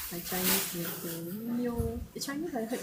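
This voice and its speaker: Over noticeable background noise, a woman with a Malaysian accent speaks at a moderate pace. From Malaysia, Johor. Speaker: livestreamer. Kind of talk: casual chat.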